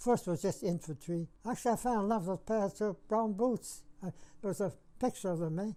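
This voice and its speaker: A man talks at a moderate speed with ordinary pitch variation as music plays behind him. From Saskatchewan, Canada. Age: 90s. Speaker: war veteran. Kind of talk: interview. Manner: halting.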